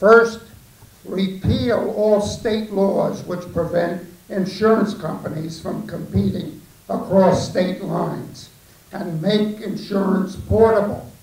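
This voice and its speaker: A man's high voice at a very slow pace with fairly even intonation, amid noticeable background noise and audible room echo. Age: 80s+. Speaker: war veteran, audience member at town hall. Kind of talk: public comment at town hall. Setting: town hall meeting, room with audience.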